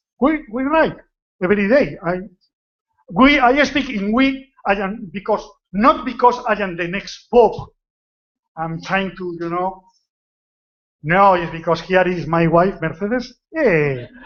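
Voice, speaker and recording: A man with a Spanish accent, high-pitched, with lively intonation, a fairly slow pace and long, frequent pauses. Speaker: retired general practitioner. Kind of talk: conference talk. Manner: relaxed.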